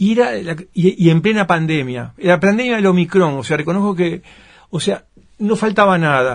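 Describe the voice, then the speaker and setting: Against a quiet background, a man with a high voice speaks with lively intonation. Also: moderate pace. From Uruguay. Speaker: author and film producer; interviewee. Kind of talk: interview. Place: studio.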